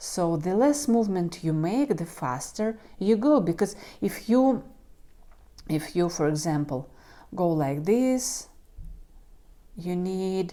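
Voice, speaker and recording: A woman speaks with a non-native accent in a dark, mellow tone of medium pitch. Her pitch swings very widely at a very slow pace, broken by long, frequent pauses. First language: not English. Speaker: knitting youtuber. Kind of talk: tutorial. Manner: halting.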